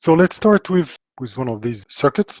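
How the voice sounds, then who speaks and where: A man with a strong French accent speaks in a somewhat breathy voice with ordinary pitch variation, in a dry, close sound with no echo. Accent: thick French. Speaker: power electronics engineer and author. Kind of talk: technical presentation. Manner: hesitant, many fillers.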